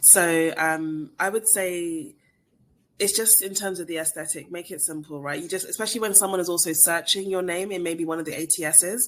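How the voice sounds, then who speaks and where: A woman with a British accent, a fairly low pitch, ordinary pitch variation and a fairly quick pace. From England. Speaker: recruiter. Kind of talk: webinar Q&A. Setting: online webinar. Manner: fast.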